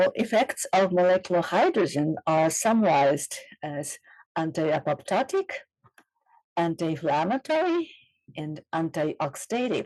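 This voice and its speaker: Heard in a dry, close sound with no echo, a woman speaks with lively intonation. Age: 60s. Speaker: scientist. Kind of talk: conference presentation.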